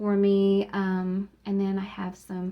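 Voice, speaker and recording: This woman has a dark, mellow tone at a medium pitch. Her voice is also somewhat breathy. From Kentucky. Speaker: YouTube decluttering vlogger. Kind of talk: casual home-tour vlog. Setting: at home, utility closet. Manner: hesitant, many filler ums.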